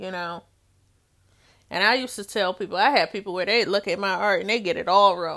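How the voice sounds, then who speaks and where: Fairly even intonation at a fairly quick pace, broken by long, frequent pauses. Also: woman, medium pitch for a woman. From Detroit, US. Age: 40s. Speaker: podcast host, artist and art educator. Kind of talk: solo podcast monologue. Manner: conversational with frequent fillers and restarts.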